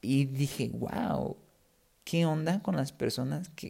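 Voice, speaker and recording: Speaking at a very slow pace, a man has a somewhat breathy voice with a dark, mellow tone. His pitch is fairly high and his intonation is lively. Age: 20s. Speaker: podcast host, Spanish teacher. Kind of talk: casual monologue for language learners. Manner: clear, unhurried.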